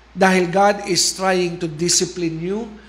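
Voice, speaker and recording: Audible room echo surrounds a man with a high pitch. He speaks at a very slow pace with fairly even intonation. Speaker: preacher. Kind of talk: sermon. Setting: online livestream.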